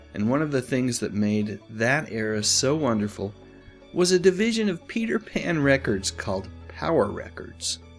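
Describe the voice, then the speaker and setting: A man is speaking. Music plays in the background. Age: old. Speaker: nostalgia video host. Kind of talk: casual nostalgic talk to camera. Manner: enthusiastic.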